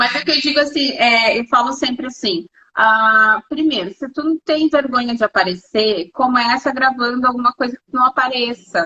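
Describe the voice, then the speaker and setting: A woman speaks in a high pitch with ordinary variation. She keeps a moderate pace with hardly any pauses. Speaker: beautician and channel host. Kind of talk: casual interview chat.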